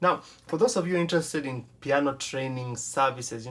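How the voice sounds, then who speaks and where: The man's pitch sits fairly high, with ordinary variation. He moves at a fairly quick pace. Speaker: piano instructor. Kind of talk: tutorial. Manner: fast.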